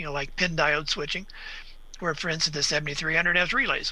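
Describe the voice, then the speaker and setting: A man's high, bright, sharp voice with an American accent. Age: 70s. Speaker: radio equipment reviewer and ham radio operator. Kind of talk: interview on live web show.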